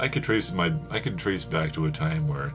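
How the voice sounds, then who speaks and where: A soft-spoken man with lively intonation, music in the background. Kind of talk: casual talk to camera. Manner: soft-spoken, reflective.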